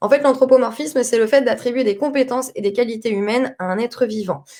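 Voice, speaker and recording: A woman speaks loudly at a very fast pace. Her pitch is high, with ordinary variation. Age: 30s. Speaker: cat behaviour consultant. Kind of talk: interactive live presentation. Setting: Facebook live stream.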